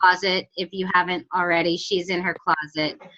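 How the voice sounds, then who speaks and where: The woman's voice comes through loud. It has a bright, sharp tone. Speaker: network marketing team leader. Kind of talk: team call hosting.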